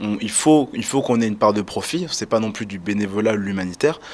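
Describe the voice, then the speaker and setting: This man speaks at a fairly quick pace. His pitch is medium and varies in an ordinary way. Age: 20s. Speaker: student association president. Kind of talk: interview. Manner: halting, many fillers.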